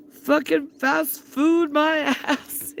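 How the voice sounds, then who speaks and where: A put-on character voice in a Scottish accent rings out at a high pitch. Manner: indignant, gruff.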